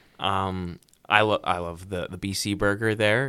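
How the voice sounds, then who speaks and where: A man talks at a fairly slow pace in a fairly low pitch with a bright, sharp tone, on a very clean recording with a silent background. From Vancouver, British Columbia, Canada. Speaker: radio host. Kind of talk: casual chat.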